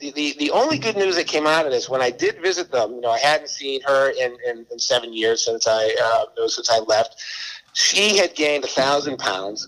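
A man with a Boston accent talks at a fairly high pitch with lively intonation. Background noise is noticeable. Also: moderate pace. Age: 60s. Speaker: former DJ and author. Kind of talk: casual chat. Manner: halting.

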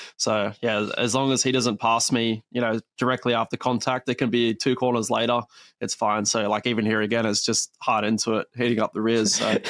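Speaking at a fairly quick pace with hardly any pauses, a man with an Australian accent holds a medium pitch in a monotone, flat intonation at very even loudness, the sound dry and close with no echo. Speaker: racing driver. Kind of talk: casual interview. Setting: video call.

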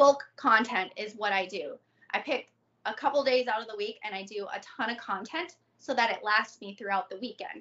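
A woman with a plain, everyday voice and an American accent speaks at a moderate pace and a fairly high pitch, with ordinary pitch variation and big swings in loudness. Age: 30s. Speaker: adult content creator. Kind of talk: casual interview.

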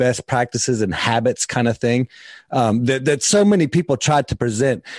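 A man talks in an unremarkable speaking voice, with ordinary pitch variation and a moderate pace, the background quiet. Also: dry, close sound with no echo. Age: 40s. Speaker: podcast host and personal development coach. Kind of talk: casual interview conversation.

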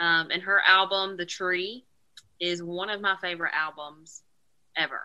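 A woman with a Southern US accent speaks at a moderate pace and medium pitch, her tone bright and sharp and her intonation monotone and flat. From North Carolina. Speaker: country singer. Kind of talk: casual chat.

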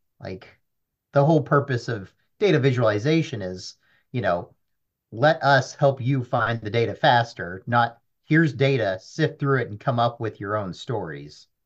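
Somewhat breathy, a man speaks at a moderate pace. His intonation is lively. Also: medium pitch for a man. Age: 30s. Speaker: data analyst. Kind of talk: casual chat. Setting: at home.

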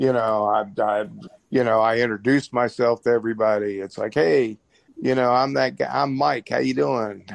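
A man with a medium-pitched voice talks at a moderate pace, his intonation lively. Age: 60s. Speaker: retired military veteran, blackjack player. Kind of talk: casual chat. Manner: halting, repeats words.

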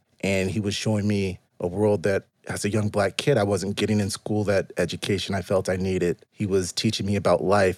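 In a monotone, flat intonation, a man with an American accent speaks with hardly any pauses and very even loudness, on a very clean recording with a silent background and a dry, close sound with no echo. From Southern California. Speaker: journalist and author. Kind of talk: casual chat. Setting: studio.

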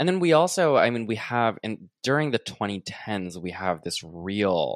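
This man talks at a moderate pace with an American accent and lively intonation. The sound is dry and close, without echo. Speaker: podcast host. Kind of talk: interview conversation. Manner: animated.

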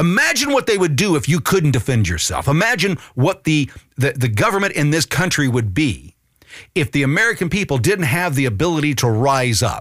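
Animated in tone, a man speaks at a fairly quick pace with a fairly high pitch, very wide pitch swings and vocal fry. His loudness stays very even. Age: 50s. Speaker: political podcast host. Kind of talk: political commentary podcast.

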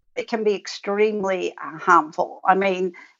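In an Australian accent, a woman speaks at a very slow pace and a medium pitch. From rural Victoria, Australia. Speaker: author and researcher. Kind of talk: interview.

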